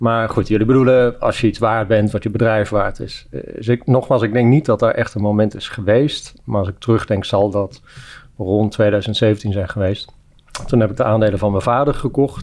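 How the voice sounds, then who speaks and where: A man with a fairly low voice speaks at a moderate pace, his intonation fairly even. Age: 40s. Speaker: entrepreneur; guest. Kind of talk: interview. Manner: halting. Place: studio. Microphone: studio mic.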